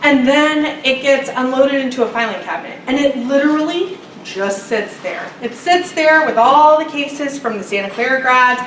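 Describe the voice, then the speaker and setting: At a moderate pace with hardly any pauses, the speech shows ordinary pitch variation amid noticeable background noise and audible room echo. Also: woman, high pitch for a woman. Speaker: international student advisor. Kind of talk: workshop presentation.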